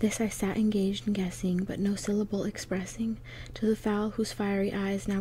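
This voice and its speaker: Soft-spoken and somewhat breathy, a woman talks at a moderate pace with monotone, flat intonation. The sound is dry with no echo, with light background noise. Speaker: poetry reader. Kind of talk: dramatic poetry reading. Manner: soft, hushed ASMR reading voice. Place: home room. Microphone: phone near.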